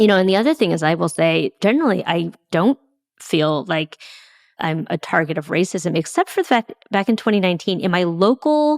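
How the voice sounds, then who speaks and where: A woman with an American accent talks at a fairly quick pace, her pitch medium and her intonation lively. The sound is dry and close, with no echo. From San Francisco Bay Area, US. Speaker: fundraising consultant and podcaster. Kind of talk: interview conversation.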